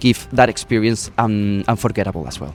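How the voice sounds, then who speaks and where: A man with a Spanish accent at a fairly quick pace. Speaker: resort employee. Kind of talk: interview. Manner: halting.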